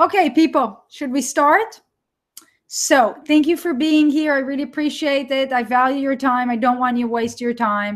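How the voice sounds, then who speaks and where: A woman speaks with an Israeli accent. Her pitch is high, with ordinary variation. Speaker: online entrepreneur and course coach. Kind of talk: live webinar. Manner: animated.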